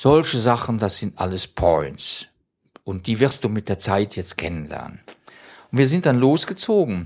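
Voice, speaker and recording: A man's voice with very wide pitch swings, at a fairly slow pace. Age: 70s. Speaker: retired OpenStreetMap mapper. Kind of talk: interview. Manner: halting.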